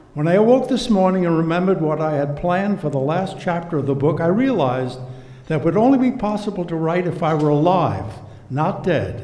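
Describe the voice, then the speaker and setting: A man talks with a fairly high pitch and very wide pitch swings. Noticeable background noise runs behind him. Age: 80s+. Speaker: comedian. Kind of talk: reading aloud from his book.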